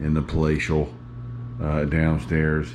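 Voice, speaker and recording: Noticeable background noise and audible room echo surround a man speaking at a fairly slow pace in a very deep, low pitch. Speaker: YouTuber filming home setup video. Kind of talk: casual vlog talk to camera. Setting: indoors, dim living room of condo. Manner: hesitant with many fillers.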